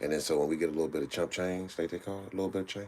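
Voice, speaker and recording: This man's voice sits at a very deep, low pitch. He talks at a very fast pace with ordinary pitch variation. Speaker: co-host of art livestream. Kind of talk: casual chat. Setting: livestream. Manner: animated.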